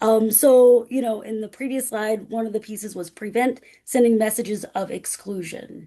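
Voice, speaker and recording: Her voice sits fairly high for a woman, with ordinary pitch variation. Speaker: academic speaker on accessibility. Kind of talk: webinar presentation. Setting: video call. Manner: halting.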